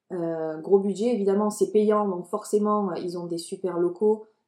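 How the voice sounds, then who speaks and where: A woman's medium-pitched voice, dark and mellow in tone, with fairly even intonation at a moderate pace. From France, Marseille. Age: 20s. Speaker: marketing coordinator. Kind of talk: casual interview chat.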